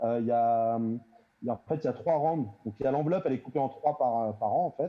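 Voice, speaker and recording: A man with an ordinary speaking voice at medium pitch talks at a moderate pace with ordinary pitch variation and hardly any pauses. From Île-de-France, Melun. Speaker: youth worker. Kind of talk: panel discussion. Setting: video call.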